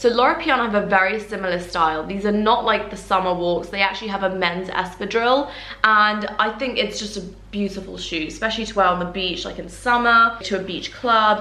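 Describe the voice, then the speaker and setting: A woman with a medium pitch and ordinary pitch variation talks at a fairly quick pace. The recording has audible room echo and noticeable background noise. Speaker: luxury fashion YouTuber. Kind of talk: haul video monologue. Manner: talkative, chatty.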